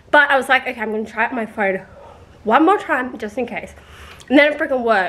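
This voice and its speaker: Speaking with an Australian accent, a woman talks at a very fast pace. Her voice is high-pitched with ordinary pitch variation. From Australia, rural New South Wales. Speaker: vlogger. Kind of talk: casual vlog storytelling.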